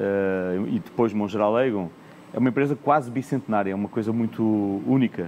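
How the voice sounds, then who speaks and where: The voice belongs to a man. Pitch variation is ordinary. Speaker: corporate executive, panelist. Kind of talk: conference panel discussion. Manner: frequent hesitations and repetitions.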